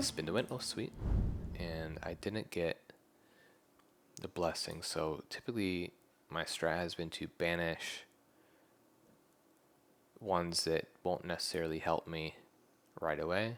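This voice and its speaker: A soft-spoken man with a very deep, low pitch, a relaxed tone, fairly even intonation and long, frequent pauses. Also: fairly slow pace. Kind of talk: ASMR gameplay commentary. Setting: headset microphone. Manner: soft-spoken, relaxed.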